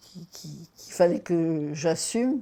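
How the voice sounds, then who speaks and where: Very slow speech from a woman, fairly low in pitch, with a dark, mellow tone. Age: 80s+. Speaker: retired accountant, ostomy patient. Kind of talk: testimony. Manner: halting.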